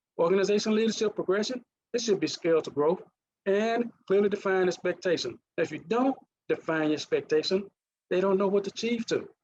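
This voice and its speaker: Speaking at a fairly quick pace with a Mississippi accent, a man talks at a high pitch with ordinary pitch variation and very even loudness, recorded with a dry, close sound and no echo. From US South, Mississippi. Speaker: leadership coach and former naval officer. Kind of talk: presentation.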